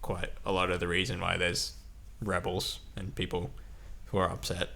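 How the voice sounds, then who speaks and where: In a bright, sharp tone, a man speaks at a moderate pace with lively intonation and audible room echo. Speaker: podcast co-host. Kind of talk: casual discussion. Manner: loud; hesitant, many fillers.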